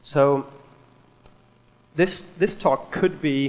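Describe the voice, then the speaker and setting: The speaker is a man with a Swedish accent. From Sweden. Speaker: software developer. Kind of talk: conference talk.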